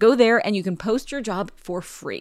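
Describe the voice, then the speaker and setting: Lively in her intonation, a woman speaks in a normal speaking voice at a medium pitch. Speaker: podcast host. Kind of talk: ad reads and show intro.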